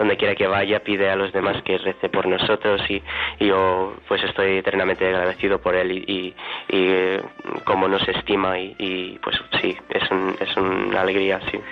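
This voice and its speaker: A man's very deep, low voice, monotone and flat, at a fairly slow pace amid noticeable background noise. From United States. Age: 20s. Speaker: seminarian. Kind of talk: radio interview. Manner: halting.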